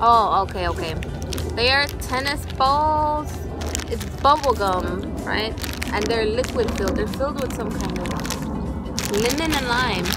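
Fairly slow speech with long, frequent pauses, dry with no echo, over clear music in the background. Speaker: snack reviewer. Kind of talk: casual vlog chat. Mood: curious, lighthearted. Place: garden.

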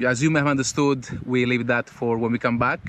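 At a very fast pace, a man talks with ordinary pitch variation in a dry sound with no echo over noticeable background noise. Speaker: travel vlogger. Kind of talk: casual vlog chat. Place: open country. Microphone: phone near.

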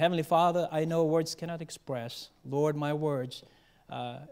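Speaking at a moderate pace, a man lets his pitch vary in an ordinary way. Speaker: preacher. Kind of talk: sermon. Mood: solemn, earnest. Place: church. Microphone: podium.

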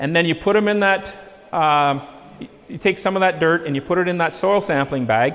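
A man's high voice with a Canadian accent and ordinary pitch variation. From Northern Ontario, Canada; Ontario, Canada. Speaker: agronomist / soil lab specialist; presenter. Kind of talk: presentation to farmers; lecture. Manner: conversational, with filler hesitations. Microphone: handheld.

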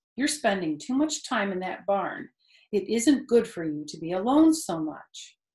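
Quiet background under plain reading aloud

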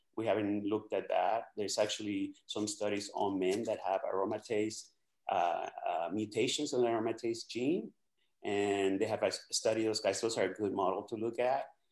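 A man with an unremarkable speaking voice talks at a fairly low pitch and a moderate pace. His intonation is fairly even, and the background is quiet. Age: 60s. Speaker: doctor; guest. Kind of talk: casual chat. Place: home room. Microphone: webcam.

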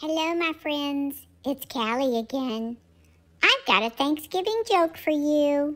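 At a fairly slow pace, a woman performs a put-on character voice with a high pitch. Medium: animal voice-over. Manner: playful, cute.

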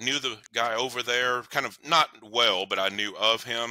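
A man's medium-pitched voice, bright and sharp in tone, at a moderate pace, with a dry sound and no echo. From US South, Knoxville, Tennessee. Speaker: counselor and relationship author. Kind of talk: interview. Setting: remote call. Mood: reflective, personal storytelling. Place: home room.

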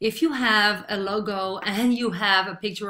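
A woman with a Dutch accent, medium pitch and a bright, sharp tone, at a moderate pace over a quiet background. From Netherlands. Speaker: online marketer; online business coach. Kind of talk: tutorial. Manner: hesitant, many fillers. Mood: friendly, upbeat.

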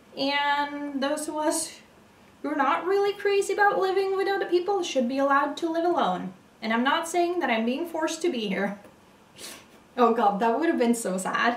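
High-pitched woman's voice at a moderate pace, audible room echo around it. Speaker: puzzle vlogger. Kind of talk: casual vlog chat. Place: home room. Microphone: camera far.

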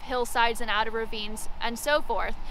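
At a moderate pace, a woman uses a raised, projected voice with a bright, sharp tone and lively intonation, the sound dry with no echo and light background noise present. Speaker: local history guide. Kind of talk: outdoor walking-tour history storytelling. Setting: outdoors on location. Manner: vivid dramatic storyteller, leans into battle anecdotes; conversational with frequent 'um' fillers. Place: open country. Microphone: phone near.

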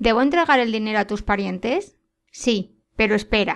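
A woman with an ordinary speaking voice talks at a moderate pace with ordinary pitch variation. The background is quiet. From Spain. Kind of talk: short story reading.

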